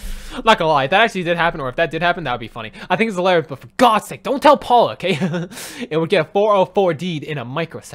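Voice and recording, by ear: Here someone reads aloud in a natural voice.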